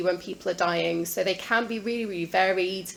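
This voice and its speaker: Fairly quick and fairly even in intonation, a woman's speech carries audible room echo. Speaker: palliative care consultant. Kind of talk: lecture. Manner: fast.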